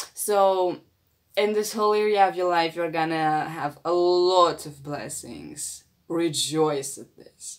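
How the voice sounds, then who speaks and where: At a very slow pace, a woman talks with a fairly low pitch and ordinary pitch variation. Her loudness swings widely against a quiet background. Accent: non-native. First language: not English. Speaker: astrology reader. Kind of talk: astrology reading. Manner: halting, with frequent fillers. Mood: warm, upbeat. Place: home room. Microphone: phone near.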